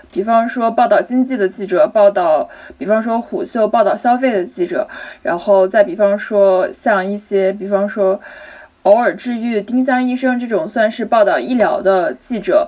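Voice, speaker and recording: Fairly high female speech at a moderate pace, ordinary pitch variation, clear background noise behind it. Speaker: journalism graduate student. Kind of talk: casual panel discussion.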